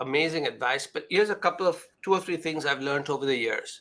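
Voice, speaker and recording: A man speaks at a high pitch. His tone is bright and sharp. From India. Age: 60s. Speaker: business author and advisor. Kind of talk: panel conversation.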